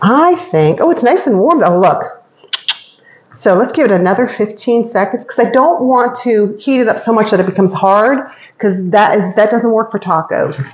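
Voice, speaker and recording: A woman's voice makes very wide pitch swings at very even loudness, with noticeable background noise behind it. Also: fairly high pitch for a woman. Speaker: cooking demo vlogger. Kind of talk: cooking tutorial. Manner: fast; chatty, casual.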